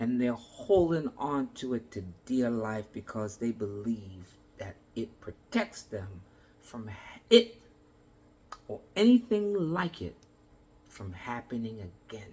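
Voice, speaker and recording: Somewhat breathy, a man speaks at a very slow pace with long, frequent pauses, lively intonation and big swings in loudness. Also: medium pitch for a man. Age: 60s. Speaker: motivational speaker. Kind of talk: motivational talk.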